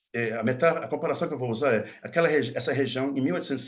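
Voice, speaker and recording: In a room with audible echo, a man with a fairly high pitch talks at a very fast pace. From Minas Gerais, Brazil (Mucuri Valley). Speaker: linguistics professor. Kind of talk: lecture. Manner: halting, many false starts.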